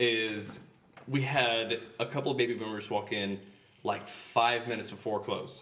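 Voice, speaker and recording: A man talks with an American accent against noticeable background noise. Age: 30s. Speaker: guest on a casual podcast. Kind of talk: casual banter chat. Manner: joking, casual.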